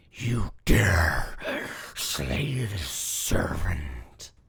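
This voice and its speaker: This put-on character voice is raspy and low in pitch. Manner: menacing.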